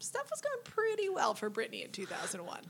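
A woman is talking. She goes at a moderate pace. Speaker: podcast co-host, English teacher. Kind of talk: casual chat.

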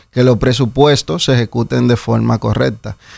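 A man at a moderate pace with a Dominican accent, in a very clean recording over a silent background. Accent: Dominican, remarked as sounding Puerto Rican. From Dominican Republic. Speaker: municipal council candidate. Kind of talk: radio interview. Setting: radio studio.

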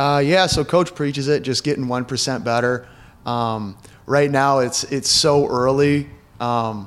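A man has an ordinary speaking voice. He talks at a moderate pace with fairly even intonation. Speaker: college basketball player. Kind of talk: interview.

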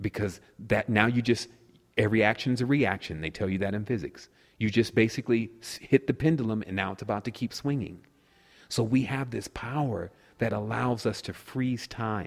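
At a moderate pace, this man has a plain, everyday voice with medium pitch and ordinary pitch variation. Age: 30s. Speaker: spiritual speaker. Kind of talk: casual interview.

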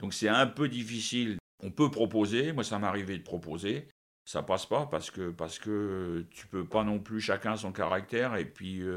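A very clean recording with a silent background of a man at a fairly low pitch, moderate pace and ordinary pitch variation. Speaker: national football team coach. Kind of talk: interview. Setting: at his home. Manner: halting, with many repetitions.

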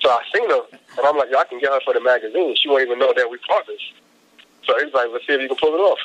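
A man talks very fast in a New York accent. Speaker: hip hop artist and magazine publisher. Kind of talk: interview.

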